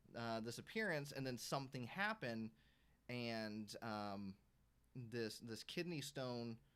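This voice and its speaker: A soft-spoken man talks at a very slow pace. His pitch varies in an ordinary way. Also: medium pitch for a man. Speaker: YouTuber. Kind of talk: casual live stream chat. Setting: live stream. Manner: quiet, soft-spoken; halting, many fillers. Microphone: audio too quiet, gain maxed.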